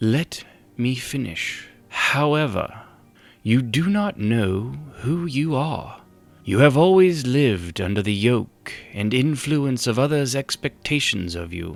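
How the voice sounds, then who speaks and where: A man puts on a character voice at a medium pitch and a fairly slow pace, with faint music in the background. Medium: read story. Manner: measured, formal.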